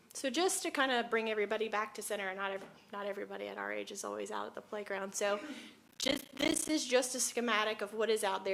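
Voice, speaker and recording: There is noticeable background noise as a woman speaks at a medium pitch with ordinary pitch variation. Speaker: city staff presenter. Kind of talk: council meeting presentation. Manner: halting.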